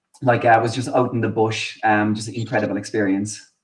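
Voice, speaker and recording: A man with a Cork accent at medium pitch and a moderate pace. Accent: Cork Irish. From Ireland, Inniscarra, Co. Cork. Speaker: Irish emigrant guest. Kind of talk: casual interview chat.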